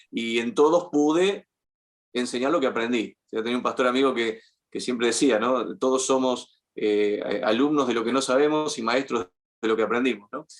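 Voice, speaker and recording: A man speaks at a medium pitch and a moderate pace. He has an unremarkable speaking voice with ordinary pitch variation. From Argentina. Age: 50s. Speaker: journalist. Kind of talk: interview conversation. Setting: podcast interview.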